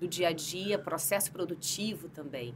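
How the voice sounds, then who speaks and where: In a Rio de Janeiro accent, a woman speaks with lively intonation. Her pace is moderate. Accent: carioca accent, noticeable. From Brazil, Rio de Janeiro. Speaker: HR executive, psychologist. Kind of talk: podcast interview. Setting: podcast studio.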